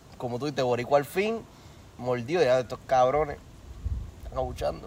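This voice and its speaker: Here a man speaks with lively intonation. His pace is fairly quick. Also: long, frequent pauses. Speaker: podcast co-host. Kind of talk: casual chat.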